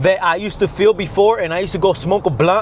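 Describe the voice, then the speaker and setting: Against noticeable background noise, a man rattles along at a very fast pace in a high-pitched voice with ordinary pitch variation. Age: 20s. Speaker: fitness and mindset coach, vlogger. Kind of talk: motivational talk to camera. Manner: intense, emphatic.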